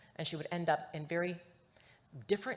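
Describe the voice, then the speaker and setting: Her fairly low, somewhat breathy voice moves at a fairly quick pace as the woman speaks with a Chicago accent. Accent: Chicago American English. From Chicago, US Midwest (Mexican-American family). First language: Spanish. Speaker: research executive. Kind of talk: conference talk.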